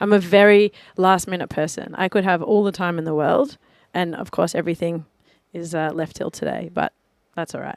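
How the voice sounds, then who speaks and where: A woman with a strong Australian accent, fairly low in pitch, at a fairly quick pace with fairly even intonation, in a dry, close sound with no echo and a very clean recording with a silent background. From Australia, Melbourne. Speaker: DJ. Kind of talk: casual radio interview. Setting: radio studio.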